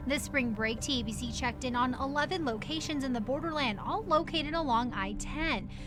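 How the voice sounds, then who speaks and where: Over music in the background, a woman with a high pitch talks at a fairly quick pace with ordinary pitch variation. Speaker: TV news anchor and reporter. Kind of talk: TV news package narration.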